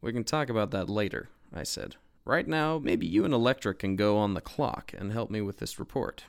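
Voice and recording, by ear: The intonation is lively as the speaker reads aloud in a natural voice.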